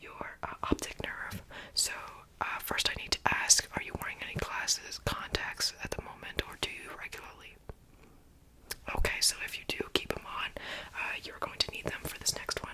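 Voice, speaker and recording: Noticeable background noise is present. Over it, a voice whispers. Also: moderate pace. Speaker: ASMR creator playing a medical examiner. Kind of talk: ASMR medical roleplay, whispered. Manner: whispered, soft-spoken.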